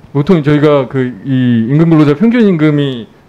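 Fairly slow and fairly high-pitched, a man speaks in a dark, mellow tone with very wide pitch swings. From Daejeon, South Korea. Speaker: national assembly member. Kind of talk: parliamentary audit questioning. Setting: parliament committee hall. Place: hall. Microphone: podium.

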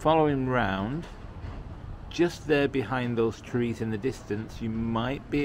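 Light background noise sits behind a man speaking at a fairly slow pace. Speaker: travel vlogger. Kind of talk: casual vlog chat. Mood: cheerful, enthusiastic. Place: street. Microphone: phone near.

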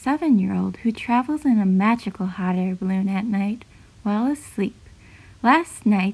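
The clip features an unforced reading voice. It is heard throughout.

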